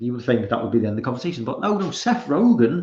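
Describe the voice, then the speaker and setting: A man speaks with a British accent. His voice is somewhat breathy. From Britain. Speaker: live streamer. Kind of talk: casual commentary reading tweets. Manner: halting, repeated fillers.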